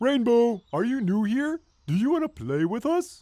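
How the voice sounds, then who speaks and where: A cartoonish character voice with a cheerful tone sits at a fairly high pitch, swinging very widely in pitch at a moderate pace. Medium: puppet show. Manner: excitable, cheerful.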